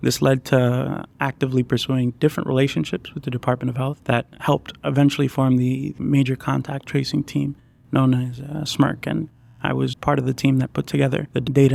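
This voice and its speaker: A man talks fairly quickly in a dry, close recording with no echo. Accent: Puerto Rican. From Puerto Rico. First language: Spanish. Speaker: PhD student, computational neuroscientist. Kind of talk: interview.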